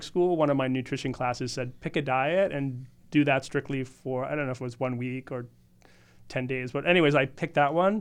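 Against a quiet background, a man with an American accent and an unremarkable speaking voice talks at a medium pitch and a fairly quick pace. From US Northeast (Boston area). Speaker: naturopathic doctor and supplement formulator. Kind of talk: podcast interview. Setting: studio.

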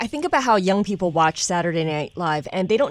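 With an ordinary speaking voice, a woman at medium pitch talks with lively intonation. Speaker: podcast host. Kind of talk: news banter.

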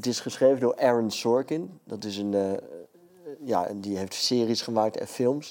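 A man talks at medium pitch. His pace is fairly slow. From Friesland, Netherlands. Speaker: comedian. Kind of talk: casual chat.

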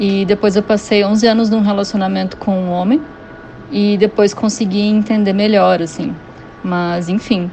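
This woman talks at a moderate speed in a medium-pitched voice with fairly even intonation while noticeable noise fills the background. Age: 30s. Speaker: listener. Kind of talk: voice message. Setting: WhatsApp voice message.

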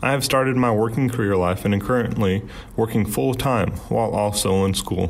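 A man with a fairly low pitch talks at a fairly quick pace with ordinary pitch variation, amid noticeable background noise and audible room echo. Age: 20s. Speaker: college student asking a question. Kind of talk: recorded listener question.

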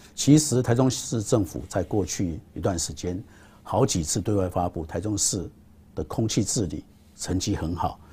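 A man with a very deep, low pitch and a dark, mellow tone speaks at a moderate pace. His voice is somewhat breathy, with lively intonation. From Taiwan, Taichung. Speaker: state power utility chairman. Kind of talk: interview.

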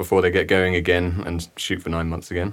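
A man with an English accent speaks at a fairly quick pace in a very deep, low voice, his tone bright and sharp but his intonation monotone and flat, on a very clean recording with a silent background. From England. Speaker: cinematographer. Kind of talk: casual chat. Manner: halting, many fillers.

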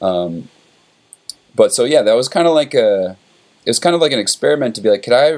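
A man with lively intonation. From upstate New York, Warwick. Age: 30s. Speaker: rock musician. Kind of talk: casual chat.

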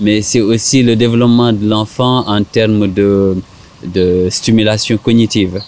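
The man's voice is fairly low, with monotone, flat intonation and very even loudness. He speaks at a fairly slow pace. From Senegal. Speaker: psychologist. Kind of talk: interview. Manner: halting.

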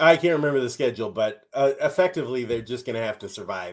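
A man with a Minnesotan accent at a fairly quick pace. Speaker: podcast co-host.

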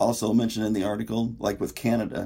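A man talks at a moderate pace with an American accent. His voice is fairly low, with a dark, mellow tone and vocal fry. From Indiana, US Midwest. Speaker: writer. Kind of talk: podcast discussion.

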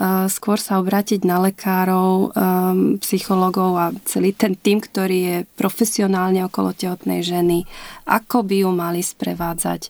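Flat, monotone intonation marks a woman's medium-pitched voice at a moderate pace. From Slovakia, Liptov region. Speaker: mother of a child with Down syndrome, inclusion advocate. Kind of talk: interview. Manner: hesitant, many fillers.

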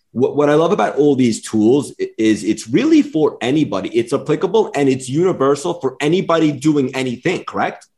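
Somewhat breathy and fairly high-pitched, a man with an American accent talks fairly quickly, with lively intonation and hardly any pauses. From New York. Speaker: podcast host. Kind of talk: interview.

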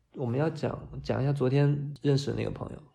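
A man is talking. There is audible room echo. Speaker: designer. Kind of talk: casual chat.

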